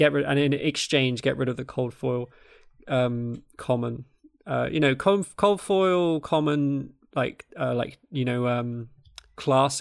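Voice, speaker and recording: A man speaks in a southern English accent. His pitch is medium, with ordinary variation. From south-east England (Kent). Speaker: podcast host. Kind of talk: casual chat.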